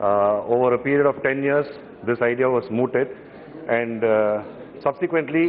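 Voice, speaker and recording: A man with a Tamil accent, fairly even intonation, and light background noise. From Tamil Nadu. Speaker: member of parliament. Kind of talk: parliamentary speech. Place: hall. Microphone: podium.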